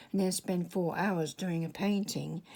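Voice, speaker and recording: Somewhat breathy, a woman talks at a medium pitch and a moderate pace. The recording is very clean, with a silent background. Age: 70s. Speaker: artist. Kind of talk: tutorial. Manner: halting.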